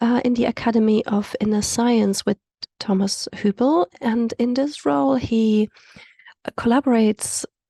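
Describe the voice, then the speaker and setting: Fairly slow and dark with a mellow tone, a woman's voice shows ordinary pitch variation. The sound is dry and close with no echo, over a quiet background. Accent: South African. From South Africa. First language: Afrikaans. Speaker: community call facilitator. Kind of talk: guided meditation; event introduction. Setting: video call.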